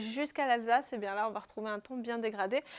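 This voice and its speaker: Pitch shifts in an ordinary way. The background is silent in this very clean recording. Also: woman. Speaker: weather presenter and climate journalist. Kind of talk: TV weather forecast presentation.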